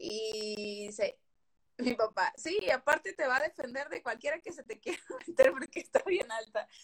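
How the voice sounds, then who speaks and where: A woman with a high pitch speaks at a moderate pace, her pitch swinging very widely and her loudness shifting a lot. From Veracruz port, Mexico. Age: 20s. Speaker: host's best friend. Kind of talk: casual live chat.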